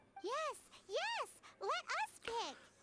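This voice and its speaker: Extremely high in pitch, this squeaky voice is a put-on character voice. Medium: video game. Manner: talks in third person, chatty.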